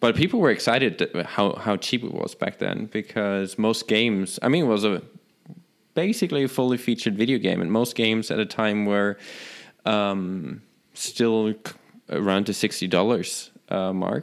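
Speaking with a German accent at a moderate pace, a man with a fairly low pitch and ordinary pitch variation comes through on a very clean recording with a silent background. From Germany. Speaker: tech podcast co-host. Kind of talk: casual chat.

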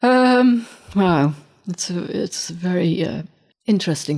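Recorded very cleanly against a silent background, a woman speaks in a medium pitch with a northern English accent. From northern England. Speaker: photographer. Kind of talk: interview conversation. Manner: halting, repeating words.

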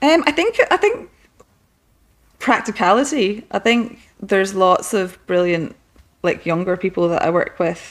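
Speaking in a Scottish accent, a woman uses medium pitch and lively intonation at a fairly slow pace with long, frequent pauses. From Scotland, west coast. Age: 40s. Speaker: interior designer. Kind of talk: casual chat. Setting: at her home.

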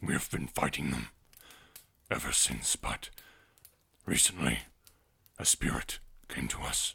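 A man does a put-on character voice with a solemn tone at a moderate pace. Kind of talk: tabletop character voice. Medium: actual play. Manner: terse, solemn, proud.

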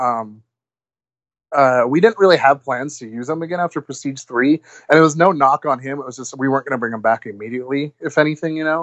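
With a plain, everyday voice, a man speaks at a fairly quick pace with ordinary pitch variation. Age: 20s. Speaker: wrestling promoter. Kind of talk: casual chat.

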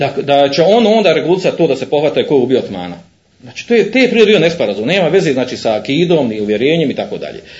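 Over audible room echo, a man talks at a very fast pace with a fairly high pitch and very wide pitch swings. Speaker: Islamic preacher. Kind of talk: lecture. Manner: halting, frequent fillers.

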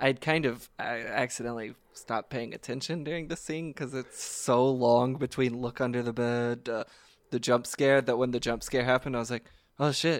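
A man with an ordinary speaking voice talks at a moderate pace and medium pitch on a very clean recording with a silent background. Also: fairly even intonation. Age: 20s. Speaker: podcast co-host. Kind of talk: casual chat.

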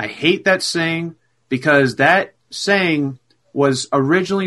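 At a fairly slow pace, a man with a fairly bright tone speaks with ordinary pitch variation.

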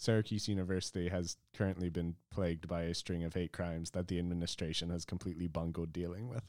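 Speaking very fast with an American accent, a man has a very deep, low pitch and a dark, mellow tone. The recording is very clean, with a silent background. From rural Pennsylvania. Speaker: former lab researcher. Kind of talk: casual chat.

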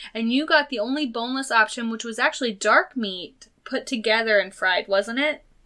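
A woman with a high, bright and sharp voice talks in an animated tone at a moderate pace. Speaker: podcast co-host. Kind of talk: casual chat. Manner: talkative, animated.

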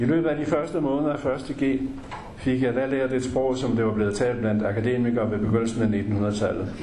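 Amid noticeable background noise and audible room echo, a man speaks at a moderate pace in a medium pitch, with ordinary pitch variation and very even loudness. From West Jutland, Denmark. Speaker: memoir author. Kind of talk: reading aloud.

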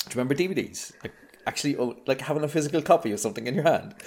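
A man with an Irish accent speaks with lively intonation. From Ireland. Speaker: podcast guest. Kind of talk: casual film discussion podcast.

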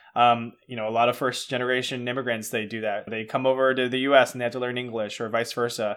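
With an American accent, a man at medium pitch rushes along at a very fast pace in a monotone, flat delivery, with hardly any pauses. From US, Cantonese-speaking household. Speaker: podcast host. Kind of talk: casual chat.

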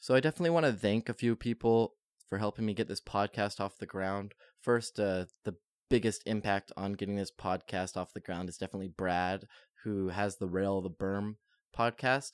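A man speaks in a normal speaking voice at a fairly low pitch with ordinary pitch variation. His pace is fairly quick, and the sound is dry and close with no echo. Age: 20s. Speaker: podcast host and designer. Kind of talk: solo podcast monologue. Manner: casual, with filler words.

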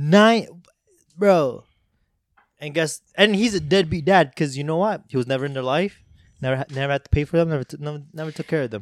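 Speaking with a non-native accent, a man with a fairly high pitch and ordinary pitch variation leaves long, frequent pauses in a dry, close recording with no echo. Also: fairly quick pace, very clean recording, silent background. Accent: non-native accent, noticeable on some words. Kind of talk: casual chat. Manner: halting, many fillers and repeats.

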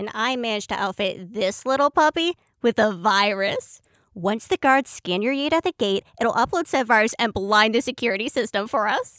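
An ordinary speaking voice from a woman, fairly high in pitch, at a moderate pace, on a very clean recording with a silent background and dry, close sound with no echo. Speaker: tech-savvy crew member and in-story radio DJ character. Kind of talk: upbeat radio DJ patter, in-character pirate-radio style broadcast within the audio drama.

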